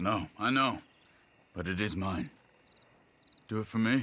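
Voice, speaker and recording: At a moderate pace, a man puts on a character voice with a fairly low pitch. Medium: video game. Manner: calm, steady.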